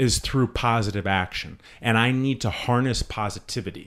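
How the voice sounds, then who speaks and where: With an animated, energetic tone, a man speaks at a fairly slow pace and ordinary pitch variation in a very clean recording with a silent background. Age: 30s. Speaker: podcast host. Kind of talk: casual chat, profane, motivational.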